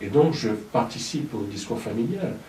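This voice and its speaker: With ordinary pitch variation, a man speaks amid noticeable background noise and audible room echo. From Gabon (Libreville). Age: 40s. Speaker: singer-songwriter. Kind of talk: interview conversation. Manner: hesitant, many fillers.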